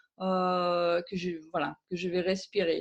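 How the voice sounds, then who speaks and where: A very slow-paced woman's voice at medium pitch. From Germany. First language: German (speaking French). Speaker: aromatherapist and author. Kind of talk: interview. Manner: hesitant, many fillers.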